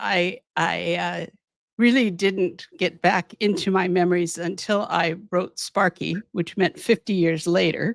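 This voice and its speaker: This woman has an American accent and a fairly low pitch with vocal fry. She speaks at a fairly slow pace in a dry, close sound with no echo. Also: fairly even intonation. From US, Southern California. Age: 70s. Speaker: physician and abuse survivor. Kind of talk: interview testimony. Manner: halting, many repeated words.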